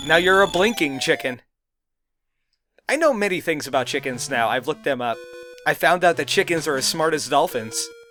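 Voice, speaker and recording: In a bright, sharp tone with ordinary pitch variation, the speaker moves at a fairly quick pace broken by long, frequent pauses. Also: man, fairly high pitch for a man. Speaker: gaming let's play commentator. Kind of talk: gameplay commentary. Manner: animated.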